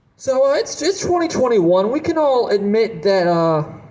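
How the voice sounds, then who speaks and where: A man talks at a moderate pace in a New Jersey accent. His pitch is extremely high and swings very widely. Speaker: stand-up comedian. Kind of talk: stand-up. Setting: stage with audience.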